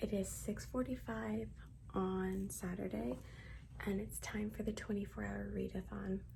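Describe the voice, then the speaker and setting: The pace is fairly slow, with long, frequent pauses from a woman. Audible room echo surrounds her voice. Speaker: book vlogger. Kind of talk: casual vlog narration. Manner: upbeat, chatty.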